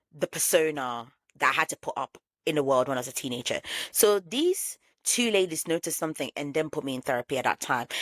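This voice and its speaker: A woman with a very deep, low voice speaks at a fairly quick pace, animated and with lively intonation. The sound is dry and close with no echo, on a very clean recording with a silent background. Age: 30s. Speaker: podcast host. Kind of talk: personal monologue. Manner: casual, animated.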